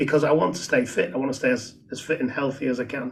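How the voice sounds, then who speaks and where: A man talks at a fairly quick pace. His pitch sits fairly high. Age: 60s. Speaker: author, charity worker and navy veteran. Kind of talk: casual chat. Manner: halting, many repetitions.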